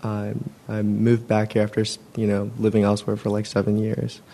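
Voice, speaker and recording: In a flat monotone, a man with an American accent talks at a fairly low pitch, his tone dark and mellow. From San Francisco Bay Area, California. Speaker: meditation attendee. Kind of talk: casual sharing. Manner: conversational, casual.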